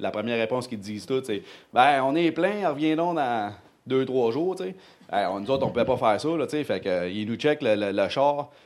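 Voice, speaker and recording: On a very clean recording with a silent background, the speech moves at a moderate pace in an animated tone with lively intonation. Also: man. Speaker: churchgoer. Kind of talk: testimony. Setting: church.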